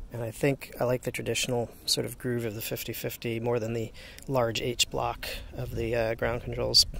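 A man speaks at a moderate pace, the sound dry with no echo and light background noise behind him. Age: 40s. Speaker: inline skater and skate gear reviewer. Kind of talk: casual gear review vlog. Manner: halting, frequent fillers. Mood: upbeat, enthusiastic. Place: street. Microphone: phone near.

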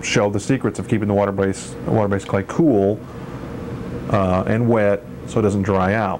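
The speech moves at a fairly quick pace with ordinary pitch variation, and there's noticeable background noise. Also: man. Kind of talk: tutorial. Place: garage. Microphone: old recording.

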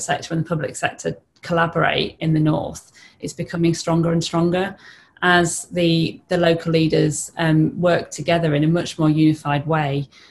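This woman talks at a moderate pace, her fairly low voice somewhat breathy and her intonation fairly even. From northern England (Teesside); northern England. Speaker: lawyer, business partnership representative; lawyer. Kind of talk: webinar panel discussion. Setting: online webinar. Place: home room. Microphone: video call.

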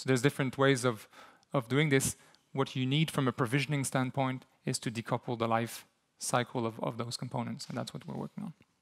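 A man with a French-Canadian accent speaks against a quiet background. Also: medium pitch for a man, fairly even intonation, fairly quick pace. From Quebec. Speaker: software company CEO; conference presenter. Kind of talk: conference talk with live demo. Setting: stage with audience. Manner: hesitant, repeats words. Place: hall.

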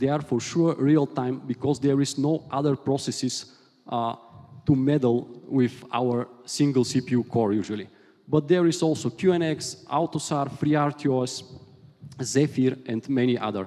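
A man at a medium pitch, with a dark, mellow tone, fairly even intonation and a fairly slow pace. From Bulgaria. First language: Bulgarian. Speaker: software engineer, conference speaker. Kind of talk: technical conference talk. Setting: conference stage with audience. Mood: light, joking. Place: hall. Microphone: headset.

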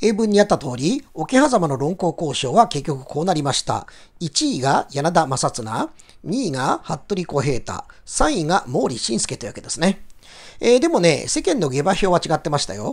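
A man's high voice makes very wide pitch swings. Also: moderate pace. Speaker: English teacher. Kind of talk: lecture.

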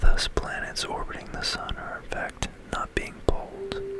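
A man is speaking. He whispers. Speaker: ASMR narrator playing a game. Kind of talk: ASMR educational science narration over gameplay. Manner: whispered.

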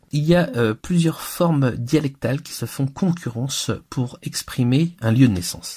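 A man speaks fairly slowly in a fairly high, somewhat breathy voice with a dark, mellow tone. His intonation is lively. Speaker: Gallo language teacher. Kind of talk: lecture. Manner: didactic, clear, explanatory.

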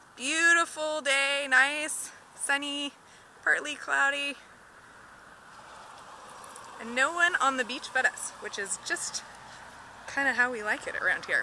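A woman speaks at a fairly slow pace in a raised, projected voice, with long, frequent pauses, big swings in loudness, ordinary pitch variation, noticeable background noise and a dry sound with no echo. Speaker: nature educator. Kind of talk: live educational walkthrough. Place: beach. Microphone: phone near.

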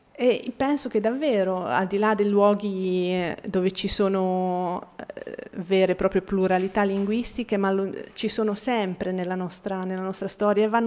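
Fairly slow, fairly even speech from a woman with an Italian accent. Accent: Italian accent when speaking Bosnian. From Bosnia. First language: Bosnian (speaking Italian). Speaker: writer and translator; guest. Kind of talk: public talk. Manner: halting, many repetitions. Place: hall.

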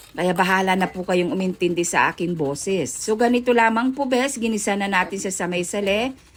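A woman at a fairly quick pace with lively intonation and hardly any pauses, over noticeable background noise. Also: medium pitch for a woman. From Pangasinan, Philippines. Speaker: cooking vlogger. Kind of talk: cooking tutorial.

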